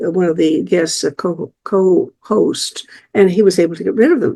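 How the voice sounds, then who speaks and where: A woman with an American accent speaks in a dark, mellow tone at a moderate pace. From United States. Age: 90s. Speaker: video podcast host. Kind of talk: solo monologue. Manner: halting, many repetitions and fillers.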